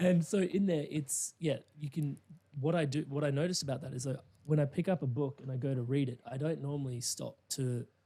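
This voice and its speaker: With an Australian accent, a man's fairly high voice comes across somewhat breathy, with a dark, mellow tone. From Australia, Indian immigrant family. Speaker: life coach and podcast host. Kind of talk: interview conversation. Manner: measured; animated.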